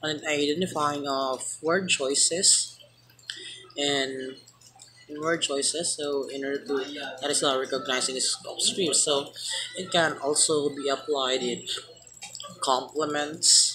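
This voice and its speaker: In a Filipino accent, the speaker goes at a very slow pace with long, frequent pauses over noticeable background noise. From Philippines. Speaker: student. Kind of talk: class presentation. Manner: halting.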